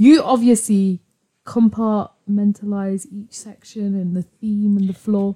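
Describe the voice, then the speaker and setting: A woman's somewhat breathy, dark and mellow voice at medium pitch, with fairly even intonation, big swings in loudness and a fairly slow pace, in a dry, close sound with no echo. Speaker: friend. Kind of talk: casual chat.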